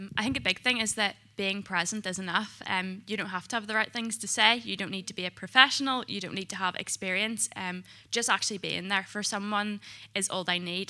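In a very clean recording with a silent background, a woman with a bright, sharp tone talks at a fairly quick pace, her medium pitch held in fairly even intonation. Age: 20s. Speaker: mental health nurse. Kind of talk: testimony.

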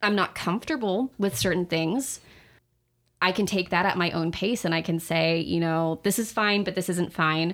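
With an unremarkable speaking voice, a woman talks at a moderate pace and medium pitch, her loudness very even and her pitch varying in an ordinary way, on a very clean recording with a silent background. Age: 20s. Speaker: college student. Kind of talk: casual interview.

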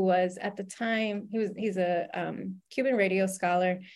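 A woman with an American accent speaks at a very slow pace. Her pitch is medium and her intonation fairly even. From US South, Louisiana. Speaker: journalism professor. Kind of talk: interview. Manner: halting, many fillers.

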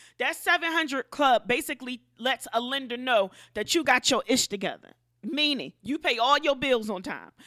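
Her high, bright, sharp voice is raised and projected, with an animated tone, ordinary pitch variation and a moderate pace, captured dry and close with no echo in a very clean recording with a silent background. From US inner city. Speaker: podcast host, entrepreneur. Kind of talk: casual financial advice monologue.

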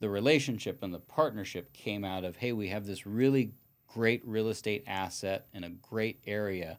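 A man with an unremarkable speaking voice talks at a moderate pace, his fairly low pitch varying in an ordinary way, in a very clean recording with a silent background. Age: 50s. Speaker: real estate broker and attorney. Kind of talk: casual interview.

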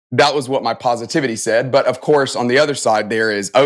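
A man speaks fairly quickly, his pitch varying in an ordinary way. The recording is very clean and the background is silent. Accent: Southern US. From US South, Alabama (Tuscaloosa). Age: 40s. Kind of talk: interview.

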